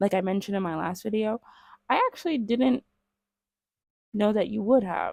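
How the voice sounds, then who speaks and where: In a dry, close sound with no echo, a woman with a fairly high pitch speaks at a moderate pace. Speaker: vlogger. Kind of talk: casual talk to camera. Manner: loud.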